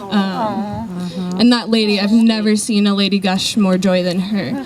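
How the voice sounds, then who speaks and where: Amid noticeable background noise, a soft-spoken woman talks at a medium pitch with ordinary pitch variation. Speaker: volunteer speaking about charity trip. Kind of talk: talk to an audience. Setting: event with audience and mic.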